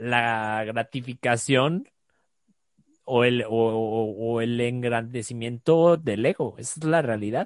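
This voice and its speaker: A very slow pace in a Mexican accent, with big swings in loudness and ordinary pitch variation. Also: man. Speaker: life coach. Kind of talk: casual chat.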